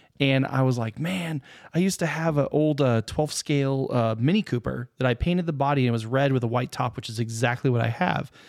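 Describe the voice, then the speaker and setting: A man with an unremarkable speaking voice talks at a fairly quick pace with hardly any pauses, at a medium pitch with ordinary pitch variation. The recording is very clean, with a silent background. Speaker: podcast host. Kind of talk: casual chat.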